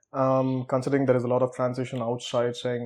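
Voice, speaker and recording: A man talks at a medium pitch. His pace is fairly quick. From India. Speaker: academic. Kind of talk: casual chat.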